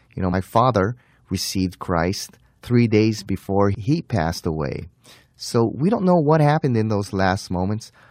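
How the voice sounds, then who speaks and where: Recorded very cleanly against a silent background, a man uses an ordinary speaking voice with lively intonation. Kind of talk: radio Bible teaching.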